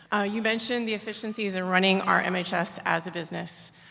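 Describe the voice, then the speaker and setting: A medium-pitched woman's voice at a fairly quick pace, fairly even in intonation, with audible room echo. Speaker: military medical officer, audience questioner. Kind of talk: audience question at conference. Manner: fast.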